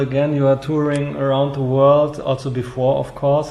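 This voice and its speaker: Speaking with a German accent and fairly even intonation, a man is heard over noticeable background noise. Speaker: culture magazine interviewer. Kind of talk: interview.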